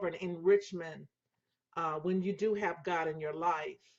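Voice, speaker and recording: This is a woman speaking. Her pitch is fairly low. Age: 60s. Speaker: women's ministry broadcaster. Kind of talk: livestream talk. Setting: home office. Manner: halting, many fillers.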